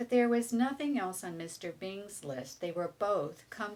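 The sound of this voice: The speaker uses an unforced reading voice. It carries through the clip.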